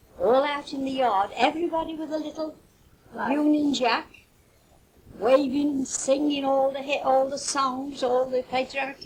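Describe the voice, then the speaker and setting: A woman with a Potteries accent talks at a high pitch and a fairly slow pace, with ordinary pitch variation and noticeable background noise. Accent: Potteries (North Staffordshire) English. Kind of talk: interview answer. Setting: home cassette recording. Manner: reminiscing, conversational.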